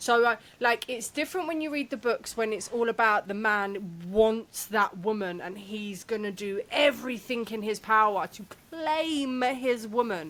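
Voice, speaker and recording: This is a normal speaking voice with lively intonation. Its loudness swings widely from moment to moment. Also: woman, fairly high pitch for a woman, moderate pace. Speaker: podcast co-host. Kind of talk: casual chat.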